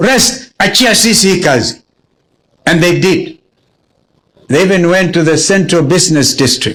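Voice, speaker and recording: At a fairly slow pace, a man with a high pitch speaks with lively intonation, very even loudness and long, frequent pauses. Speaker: politician. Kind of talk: memorial speech.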